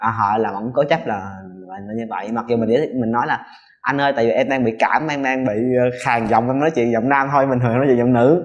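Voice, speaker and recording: Very fast talk from a man in a medium register, his intonation fairly even. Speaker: transgender interviewee. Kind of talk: interview testimony.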